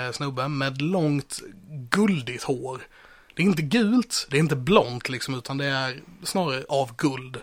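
A fairly high-pitched man with ordinary pitch variation. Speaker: podcast host. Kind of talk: role-play game chat. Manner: animated.

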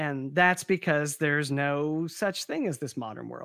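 On a very clean recording with a silent background, a man with a fairly high voice talks at a moderate pace with ordinary pitch variation. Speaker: author of a tabletop game bestiary. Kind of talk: interview. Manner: halting, many fillers and restarts.

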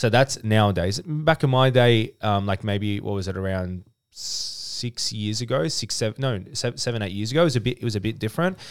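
A man with an Australian accent talks at a fairly quick pace with hardly any pauses, his medium pitch showing ordinary variation. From Australia, Melbourne (Dandenong). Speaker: business owner and author. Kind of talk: casual interview chat.

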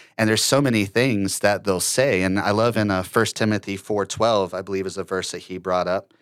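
In a normal speaking voice, a man with an American accent talks at a fairly quick pace, fairly low in pitch, with fairly even intonation. He hardly pauses, and the recording is very clean with a silent background. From Ohio, then Florida from age seven. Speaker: church drummer. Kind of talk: casual chat.

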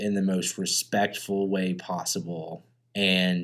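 A man with a fairly low voice speaks at a very slow pace in a very clean recording with a silent background. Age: 20s. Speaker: podcast co-host. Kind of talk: casual chat. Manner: slow, spaced-out speech.

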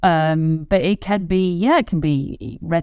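The recording is very clean, with a silent background. A woman speaks with an English accent. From England. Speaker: ski patroller and children's author. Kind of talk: interview. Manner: halting, many fillers.

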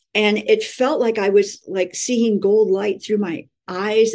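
A woman with a fairly high pitch and an American accent speaks at a fairly slow pace in a normal speaking voice, with ordinary pitch variation. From California. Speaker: spiritual teacher, angel channeler. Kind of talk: interview.

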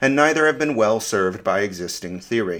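On a very clean recording with a silent background, a plain, everyday voice goes at a fairly quick pace with lively intonation. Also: man. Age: 40s. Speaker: science essayist. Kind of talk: scripted narration.

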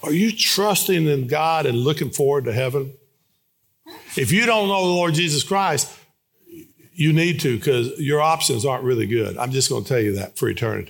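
A man talks at a moderate pace with lively intonation. His voice is somewhat breathy and fairly high in pitch. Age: 60s. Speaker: guest preacher. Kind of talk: sermon. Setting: church.

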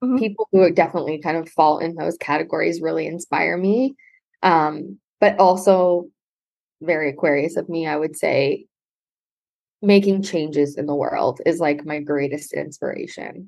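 In a Canadian accent, a woman with vocal fry talks at a fairly low pitch and moderate pace, with ordinary pitch variation. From Ontario, Canada (Brantford). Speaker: astrologer. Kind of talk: casual interview.

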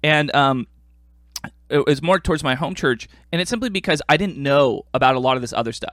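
An unremarkable speaking voice from a man with an American accent, fairly high in pitch, moving at a fairly quick pace. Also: ordinary pitch variation. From US, Korean American. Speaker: podcast host. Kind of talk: casual chat.

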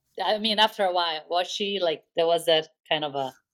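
A woman with a Brazilian accent, fairly low in pitch, at a fairly quick pace. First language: Portuguese. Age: middle-aged. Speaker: podcast co-host. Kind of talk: casual chat.

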